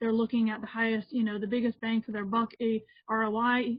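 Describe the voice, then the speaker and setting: The delivery is fairly quick and somewhat breathy, held in a monotone, flat intonation. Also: woman. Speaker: healthcare consultant. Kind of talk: webinar presentation. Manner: fast.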